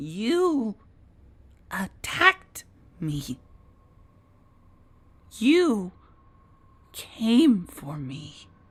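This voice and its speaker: A female-sounding, put-on character voice, strained and fairly high-pitched, with very wide pitch swings, a very slow pace and long, frequent pauses. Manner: indignant, pleading innocence.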